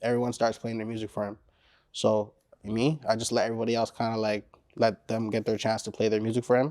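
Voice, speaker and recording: A man with a Caribbean accent speaks very fast at medium pitch with monotone, flat intonation on a very clean recording with a silent background. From Caribbean descent. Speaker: rapper. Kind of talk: interview. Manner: casual, laid-back.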